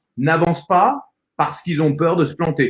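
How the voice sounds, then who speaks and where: Here a man talks at a moderate pace. His pitch sits high for a man. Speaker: voice-over actor, public speaking coach and entrepreneur. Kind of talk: interview answer, conversational motivational talk.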